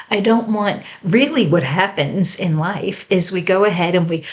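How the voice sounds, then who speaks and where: With a plain, everyday voice, a woman speaks at a medium pitch and with ordinary pitch variation. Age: 60s. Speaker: home staging coach. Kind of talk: tutorial. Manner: conversational, with filler words.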